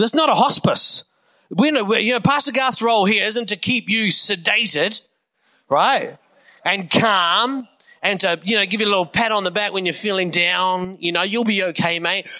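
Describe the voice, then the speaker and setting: Raised and projected, a man's high-pitched, bright and sharp voice in a New Zealand accent moves at a moderate pace with ordinary pitch variation. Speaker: pastor. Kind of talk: sermon. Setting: church.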